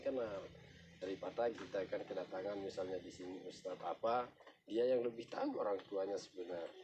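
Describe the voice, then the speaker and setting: With music in the background, a man with a Lombok accent speaks at a medium pitch and a moderate pace. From Lombok, Indonesia (Sasak). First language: Sasak (speaking Indonesian). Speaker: local village guide. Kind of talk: explanatory tour talk.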